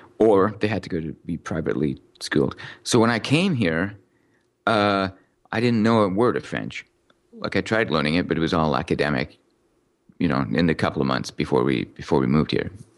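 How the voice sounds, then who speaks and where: A man speaks with a very deep, low pitch, very wide pitch swings, and vocal fry. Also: fairly quick pace, quiet background. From Montreal suburbs, Quebec, Canada (born in Newcastle, England). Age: 30s. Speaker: software developer. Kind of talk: interview.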